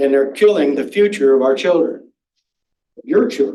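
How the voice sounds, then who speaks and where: A man's dark, mellow tone at a moderate pace, with ordinary pitch variation. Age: 70s. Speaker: public commenter at school board meeting. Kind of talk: public comment.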